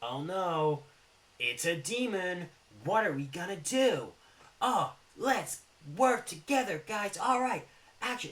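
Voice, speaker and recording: A man puts on a character voice pitched high for a man, speaking at a fairly slow pace with long, frequent pauses. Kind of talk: corny action-movie dialogue. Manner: cheesy, overly earnest.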